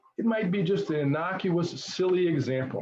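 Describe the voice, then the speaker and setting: Lively intonation in a man's high voice. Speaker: equity trainer. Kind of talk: training presentation. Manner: fast.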